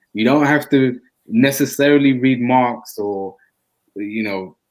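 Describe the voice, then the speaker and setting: This man has an unremarkable speaking voice pitched in the medium range. He talks at a moderate pace and varies his pitch in an ordinary way. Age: 30s. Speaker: podcast co-host. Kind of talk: casual chat.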